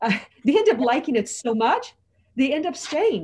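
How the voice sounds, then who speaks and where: A somewhat breathy woman's voice with an American accent, at a moderate pace. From US, California (Los Angeles), Mexican American. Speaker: former Hong Kong expat. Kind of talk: casual chat.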